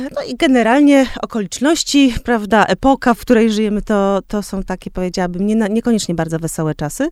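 A woman's fairly high voice at a very fast pace, lively in intonation, with hardly any pauses and noticeable background noise. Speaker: podcast host. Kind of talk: interview.

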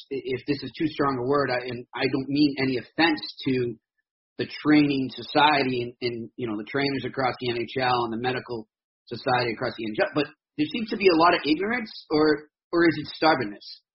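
A man talks at a fairly quick pace with an American accent. He has a plain, everyday voice. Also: fairly high pitch for a man, ordinary pitch variation. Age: 40s. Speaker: sports podcast host. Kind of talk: casual sports talk interview.

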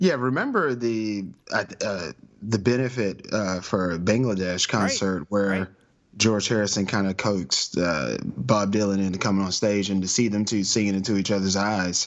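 Here a man talks at a moderate pace in an unremarkable speaking voice. His pitch varies in an ordinary way. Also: fairly low pitch for a man. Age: 30s. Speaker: podcaster. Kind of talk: casual chat.

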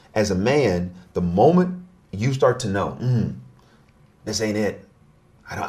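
A man's somewhat breathy, medium-pitched voice, fairly slow and lively in intonation, with long, frequent pauses. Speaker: relationship expert. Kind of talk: interview conversation.

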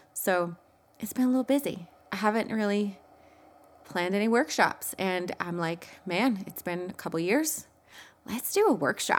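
A woman talks at a medium pitch and a moderate pace with lively intonation. Her speech has long, frequent pauses. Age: 30s. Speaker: podcast host and mindset coach. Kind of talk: casual solo podcast talk. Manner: animated.

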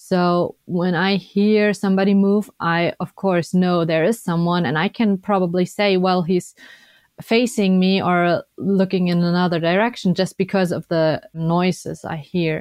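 This woman's voice sits at a medium pitch with fairly even intonation. She speaks at a fairly slow pace. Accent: German. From Germany. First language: German. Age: 20s. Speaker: Paralympic skier and biathlete. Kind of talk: interview.

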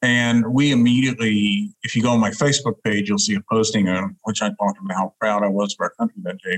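In a dry, close sound with no echo, a man with an American accent talks at a fairly quick pace, his fairly low pitch showing ordinary variation. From Alabama (Huntsville), US South. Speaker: diplomat. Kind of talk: interview. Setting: video call.

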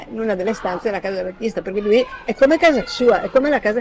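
Noticeable background noise runs under this clip. A woman speaks at a fairly quick pace in a fairly high pitch. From northern Italy, Milan. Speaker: retired journalist. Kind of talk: casual interview.

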